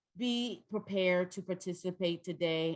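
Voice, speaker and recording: A woman talks with a Southern US accent. Her pitch varies in an ordinary way. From North Carolina, US South. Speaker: trainer. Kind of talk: training workshop. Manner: loud.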